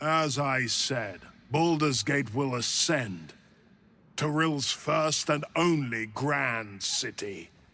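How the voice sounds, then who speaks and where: A man speaks very slowly in a put-on character voice, medium in pitch, with lively intonation and very even loudness. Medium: video game. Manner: grandiose, preaching.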